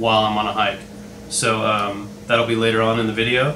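A man speaks in a monotone, flat intonation over noticeable background noise. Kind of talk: casual vlog chat. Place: home room. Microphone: camera far.

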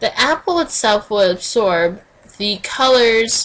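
Speaking fairly slowly, a woman delivers her lines. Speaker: teacher. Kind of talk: lecture. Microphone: webcam.

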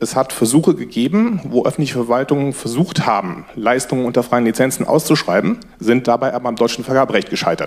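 The speech runs at a very fast pace with hardly any pauses and ordinary pitch variation. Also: man. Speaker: audience member. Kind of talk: audience comment. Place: hall. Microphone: headset.

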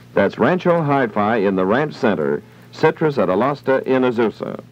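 Over music in the background, a man with an American accent speaks at a moderate pace, his pitch swinging very widely. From United States, California. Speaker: radio announcer. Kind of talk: radio commercial read. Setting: vintage 1960s radio broadcast recorded from old tape. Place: studio. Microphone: old recording.

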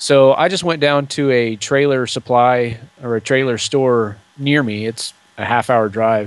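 The speech moves at a fairly slow pace, with a dry sound and no echo. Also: man. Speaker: podcaster and DIY trailer builder. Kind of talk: casual interview chat. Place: home room. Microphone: studio mic.

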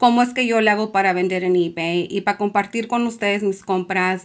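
Fairly even intonation marks a woman's speech at a moderate pace. The background is quiet. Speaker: fashion resale youtuber; online reseller. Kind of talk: tutorial. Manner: chatty, filler-heavy. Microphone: phone near.

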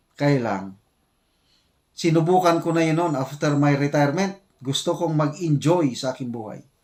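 This man has an unremarkable speaking voice, fairly high in pitch, moving at a moderate pace with ordinary pitch variation. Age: 60s. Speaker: retired military officer and vlogger. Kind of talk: casual vlog commentary.

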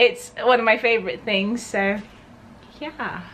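The speech has a Southern English accent and moves at a fairly slow pace. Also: woman. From Berkshire, England. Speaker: lifestyle vlogger. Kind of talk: casual talk to camera. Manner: upbeat. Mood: warm, cheerful, giggly. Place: home room.

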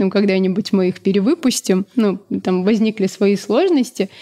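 A woman at a moderate pace with ordinary pitch variation, set against a quiet background. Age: 30s. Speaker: food business co-founder; guest. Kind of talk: interview. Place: studio. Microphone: studio mic.

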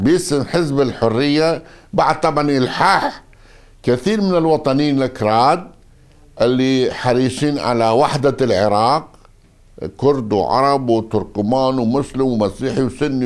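This man talks at a very slow pace with very even loudness. His pitch varies in an ordinary way over a quiet background. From northern Iraq, Aqrah district near Mosul (Kurdish); northern Iraq. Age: 60s. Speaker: former politician and army officer; former politician. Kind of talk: interview. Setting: at his home. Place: home room.

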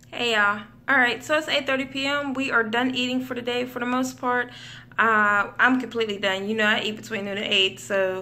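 Her tone is bright and sharp. The woman keeps a moderate pace with fairly even intonation. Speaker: stay-at-home mother vlogger. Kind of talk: casual vlog chat. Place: home room. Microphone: phone near.

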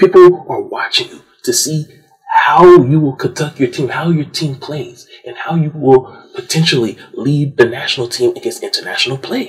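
The speaker is a man. He talks at a moderate pace. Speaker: sports commentator. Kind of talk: angry sports rant, scolding teams as if they were present, monologue. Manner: indignant, accusatory, animated, forceful; emphatic, repeating lines with stinging sarcasm.

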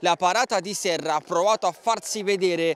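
Through noticeable background noise, a man with a high pitch speaks with fairly even intonation, the sound dry and close with no echo. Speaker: sports commentator. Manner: clipped, staccato stream of player names and passes.

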